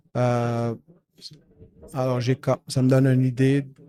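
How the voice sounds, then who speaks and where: A man with a medium pitch talks very slowly. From Montreal West Island, Quebec. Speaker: software company founder. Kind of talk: podcast interview. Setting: at a trade event. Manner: hesitant, many fillers.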